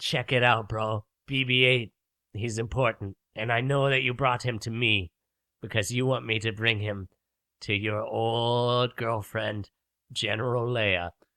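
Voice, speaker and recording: A man puts on a character voice. He keeps it at a medium pitch and a moderate pace. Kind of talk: comic parody. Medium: audio drama. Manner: casual, slangy.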